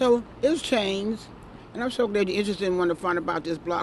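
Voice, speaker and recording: A woman with a New York accent speaks at a very fast pace with lively intonation. Background noise is noticeable. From New York City, Brooklyn. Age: 70s. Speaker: retired nurse, neighborhood local. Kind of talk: casual street interview. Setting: outdoors on a city street stoop. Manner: halting, repeats words.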